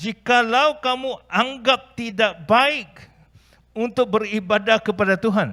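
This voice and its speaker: A man speaks very slowly in a raised, projected voice, high-pitched for a man, with ordinary pitch variation and a non-native accent. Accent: non-native Indonesian. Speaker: pastor. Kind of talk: sermon. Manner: halting.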